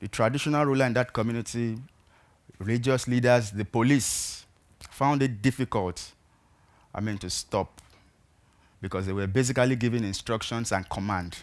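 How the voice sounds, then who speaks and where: With a Nigerian accent, a man speaks at a moderate pace. His intonation is fairly even. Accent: Nigerian (Yoruba) English. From Nigeria, southwest (Ibadan). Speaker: peacebuilding activist; speaker. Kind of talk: talk to an audience. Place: stage. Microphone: headset.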